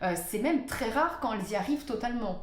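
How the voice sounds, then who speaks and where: A woman with lively intonation, audible room echo and noticeable background noise. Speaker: astrologer. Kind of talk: talking-head video monologue. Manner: hesitant, many fillers.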